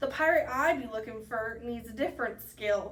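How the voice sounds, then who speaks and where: The speaker puts on a character voice. The delivery keeps a moderate pace. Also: woman. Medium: read story. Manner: growling, pirate speech.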